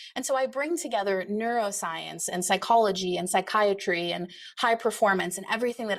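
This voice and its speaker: Speaking at a fairly quick pace, a woman uses ordinary pitch variation. Her pitch sits in the medium range. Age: 40s. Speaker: psychiatrist turned real estate investor and coach. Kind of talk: online workshop presentation. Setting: live online workshop with chat. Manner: fast; animated.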